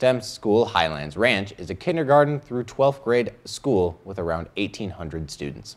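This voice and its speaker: A man's voice with very wide pitch swings at a moderate pace. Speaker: student news anchor. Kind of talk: news reading. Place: studio. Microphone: lapel.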